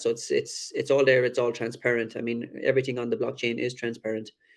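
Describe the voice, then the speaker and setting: With a strong Irish accent, a man talks at a fairly quick pace in a medium-pitched voice marked by vocal fry. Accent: thick Irish. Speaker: crypto project team member. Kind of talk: AMA presentation.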